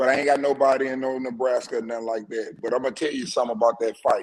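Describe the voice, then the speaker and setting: A man talks at a fairly quick pace with fairly high pitch in an unremarkable speaking voice. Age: 50s. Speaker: caller. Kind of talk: casual chat.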